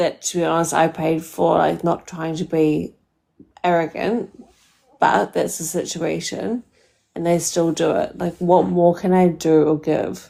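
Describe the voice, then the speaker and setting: Woman with a New Zealand accent, fairly low pitch, fairly slow pace and fairly even intonation. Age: 30s. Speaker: caller. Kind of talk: live call-in dating advice. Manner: casual, hesitant with many fillers.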